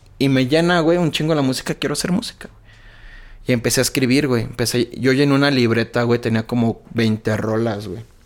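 A man speaks at medium pitch and a fairly quick pace, with big swings in loudness. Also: ordinary pitch variation. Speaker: rapper. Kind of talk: casual chat.

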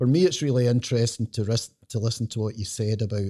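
On a very clean recording with a silent background and a dry, close sound with no echo, a man speaks at a medium pitch and a fairly quick pace, his tone dark and mellow, somewhat breathy, with fairly even intonation. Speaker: former police officer, podcast co-host.

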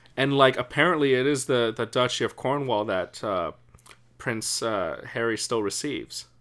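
His pitch shifts in an ordinary way. The man keeps to a moderate pace. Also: medium pitch for a man. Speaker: podcast co-host. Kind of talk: casual chat. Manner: loud.

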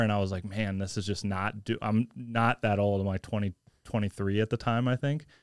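A fairly low-pitched man with an American accent and an ordinary speaking voice, fairly quick and fairly even in intonation, on a very clean recording with a silent background. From US Midwest, St. Louis area. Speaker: jiu-jitsu instructor and Air Force veteran. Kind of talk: casual chat.

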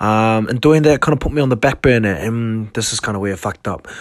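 Speaking with a New Zealand accent, a man talks at a fairly quick pace in a fairly low pitch with ordinary pitch variation. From New Zealand, South Auckland. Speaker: podcast host, clothing brand owner. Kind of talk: casual solo monologue. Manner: halting, many fillers.

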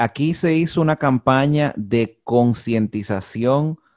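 Heard on a very clean recording with a silent background, a man with a Dominican accent uses lively intonation in a dry, close sound with no echo. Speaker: podcast host. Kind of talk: casual chat.

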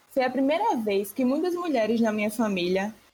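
A woman talks at a moderate pace in a normal speaking voice. Her pitch is fairly high. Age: 20s. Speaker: university student. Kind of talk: casual discussion podcast.

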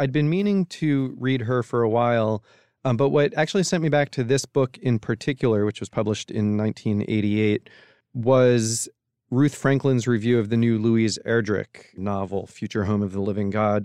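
This man has a plain, everyday voice at medium pitch, speaking at a moderate pace with ordinary pitch variation, recorded dry and close with no echo in a quiet background. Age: 40s. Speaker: book editor. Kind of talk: casual chat.

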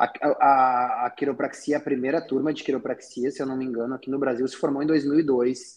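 This man has a southern Brazilian accent and a fairly high pitch. His pace is moderate. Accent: gaúcho. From Rio Grande do Sul, southern Brazil (Taquara). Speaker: chiropractor. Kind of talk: casual chat.

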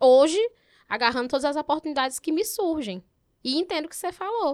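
A woman with a Piauí accent and lively intonation, on a very clean recording with a silent background. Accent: Piauí northeastern Brazilian. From Teresina, Piauí, Brazil. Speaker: journalist, advertising account executive. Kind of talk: casual interview.

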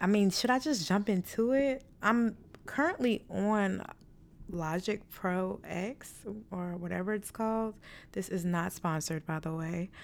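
At a fairly slow pace, a woman speaks at medium pitch with ordinary pitch variation, in a very clean recording with a silent background. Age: 20s. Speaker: solo podcast host. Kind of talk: casual monologue. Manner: chatty, with fillers and stumbles.

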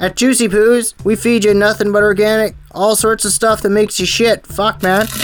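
A man's high-pitched voice at a moderate pace, with hardly any pauses, very even loudness and monotone, flat intonation, over noticeable background noise. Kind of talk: stand-up comedy, absurdist crude bit.

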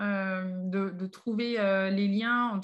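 In a monotone, flat intonation, a woman keeps to a medium pitch. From Paris, France. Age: 30s. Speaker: association co-founder, chemist. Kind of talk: podcast interview. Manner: hesitant, many fillers.

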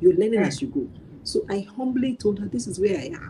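A woman's somewhat breathy, dark, mellow voice at a very fast pace with very wide pitch swings. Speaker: working mother sharing parenting story. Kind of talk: live online interview.

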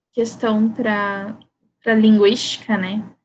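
A woman speaks at a very slow pace in a fairly high, somewhat breathy voice. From Brazil, Campo Grande, Mato Grosso do Sul. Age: 30s. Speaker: writer. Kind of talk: interview.

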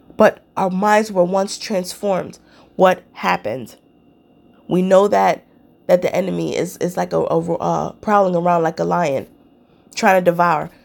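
Speaking with an animated tone, a woman goes at a fairly slow pace with long, frequent pauses. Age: 30s. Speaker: minister and podcast host. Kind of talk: sermon.

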